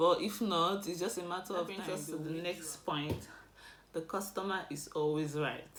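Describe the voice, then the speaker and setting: This woman has a Nigerian accent and a fairly low pitch, with audible echo from the room. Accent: non-British, Nigerian. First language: Igbo. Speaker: vlogger. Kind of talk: casual advice vlog.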